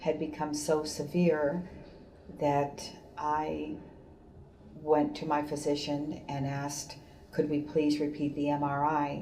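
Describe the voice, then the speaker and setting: Very slow delivery in a flat monotone, with audible room echo. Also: woman. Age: 60s. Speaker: patient. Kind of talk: testimony.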